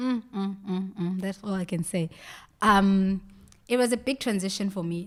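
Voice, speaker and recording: A woman of medium pitch with a South African accent. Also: fairly even intonation, moderate pace, very clean recording, silent background. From South Africa, KwaZulu-Natal north coast. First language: Zulu. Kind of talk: casual chat.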